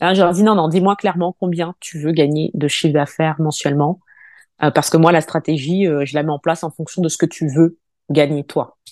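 A woman's normal speaking voice, fairly low in pitch and fairly even in intonation, at a fairly quick pace, with a dry, close sound with no echo and a quiet background. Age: 40s. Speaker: cosmetics brand consultant and founder. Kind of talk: interview.

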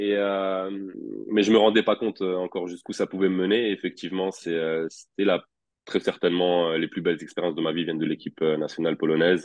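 This man's voice is very deep and low in pitch. His intonation stays fairly even. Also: fairly quick pace. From France, Orléans. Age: 30s. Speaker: professional basketball player. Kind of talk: casual interview.

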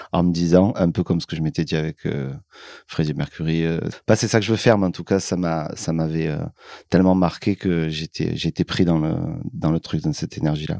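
Very deep and low, this man's voice has a dark, mellow tone and fairly even intonation, recorded with a dry, close sound and no echo. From Marseille, southern France. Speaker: musician. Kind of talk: interview.

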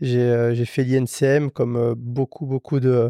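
A man with a dark, mellow tone speaks very slowly at medium pitch in a monotone, flat delivery, the sound dry and close with no echo over a quiet background. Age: 30s. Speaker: motorcycle mechanic and garage owner. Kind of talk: casual chat. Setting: motorcycle workshop.

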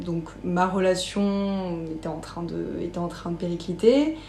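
A woman speaks in this clip. Noticeable background noise and audible room echo are both present. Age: 20s. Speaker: podcast guest. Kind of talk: personal interview testimony. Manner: hesitant, many fillers.

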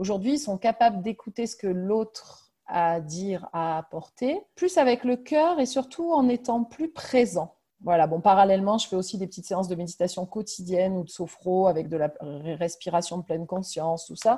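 Somewhat breathy, dark and mellow in tone, a woman's medium-pitched voice with lively intonation at a moderate pace. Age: 40s. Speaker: primary school head teacher. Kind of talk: interview.

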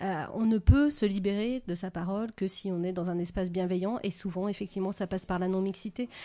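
An unremarkable speaking voice moves at a fairly quick pace with hardly any pauses. Its pitch variation is ordinary, and the background is quiet. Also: woman, medium pitch for a woman. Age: 40s. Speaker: author. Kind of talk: interview.

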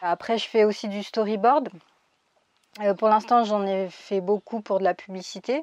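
A woman speaks in an ordinary speaking voice at medium pitch, fairly slowly and with fairly even intonation. The sound is dry and close with no echo, over a quiet background. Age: 20s. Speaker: illustrator and 3D artist. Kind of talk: interview. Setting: remote interview during lockdown in Spain.

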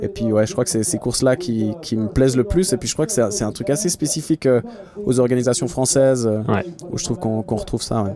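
Noticeable background noise sits behind the speech. A man talks at a fairly quick pace. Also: medium pitch for a man, lively intonation. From Switzerland, Geneva. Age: 30s. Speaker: professional triathlete. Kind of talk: interview. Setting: in a van.

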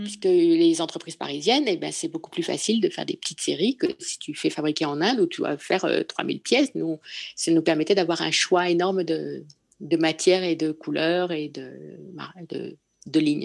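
The woman's speech proceeds at a moderate pace over a quiet background. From Paris. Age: 60s. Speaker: concept store owner. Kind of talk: interview. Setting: video call. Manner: halting.

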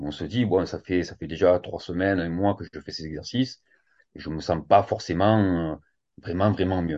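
A man with a very deep, low voice talks at a fairly slow pace, with ordinary pitch variation and big swings in loudness. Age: 40s. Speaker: fitness coach and yoga teacher. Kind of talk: casual interview.

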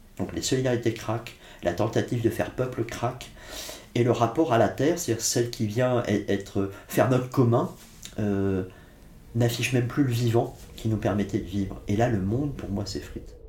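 The voice has a dark, mellow tone and sounds somewhat breathy. Its pitch varies in an ordinary way. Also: man, medium pitch for a man, moderate pace. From France, Blois (Loire valley), Corsican family. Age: 50s. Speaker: philosopher and writer. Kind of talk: interview conversation. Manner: reflective, some hesitations.

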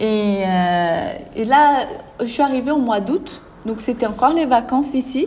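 A woman with a slight Brazilian accent speaks at a fairly slow pace in a high pitch, with lively intonation. Noticeable background noise can be heard. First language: Portuguese (speaking French). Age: 20s. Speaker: entrepreneur. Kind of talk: interview. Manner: animated.

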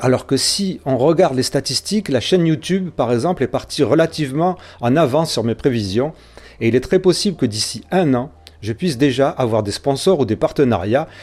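A man's fairly high-pitched voice with a dark, mellow tone, lively intonation, and a moderate pace. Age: 50s. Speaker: podcast host. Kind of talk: appeal to listeners.

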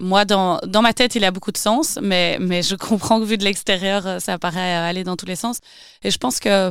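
With a Belgian accent, a woman speaks with ordinary pitch variation in a very clean recording with a silent background. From Belgium, Wavre (Walloon Brabant). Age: 30s. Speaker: entrepreneur. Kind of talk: interview. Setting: studio.

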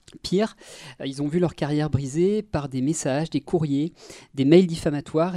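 A very clean recording with a silent background holds speech delivered at a moderate pace. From Brittany, France (Brest). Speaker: film and media columnist. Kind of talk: casual chat. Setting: studio.

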